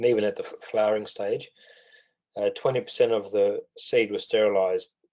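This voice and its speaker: A man with an Australian accent talks at a medium tempo. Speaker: weed science researcher. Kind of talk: webinar presentation. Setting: webinar call. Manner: hesitant, many fillers.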